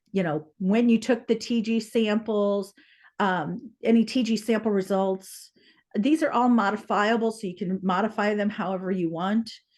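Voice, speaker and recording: A woman with an unremarkable speaking voice, fairly high pitch, fairly even intonation and a moderate pace, against a quiet background. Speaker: public water supply presenter. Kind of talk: webinar presentation.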